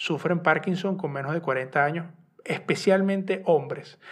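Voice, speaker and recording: A man speaks with a Venezuelan accent. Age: 30s. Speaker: podcast host and journalist. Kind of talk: solo personal podcast monologue. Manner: halting, repetitive.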